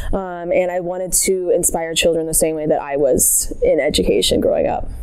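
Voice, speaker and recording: A woman speaks at a moderate pace in a fairly low voice with fairly even intonation, over noticeable background noise and audible room echo. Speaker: new music teacher. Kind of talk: interview.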